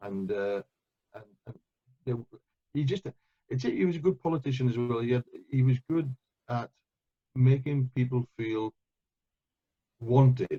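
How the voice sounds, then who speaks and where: With a Welsh accent, a man speaks at medium pitch in a dark, mellow tone that is somewhat breathy, the sound dry and close with no echo. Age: 60s. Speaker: euphonium player and conductor. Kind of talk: interview. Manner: hesitant, repeats words.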